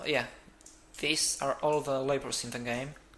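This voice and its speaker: A man at a very slow pace, with a non-native accent. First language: not English. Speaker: games developer. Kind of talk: let's play game commentary.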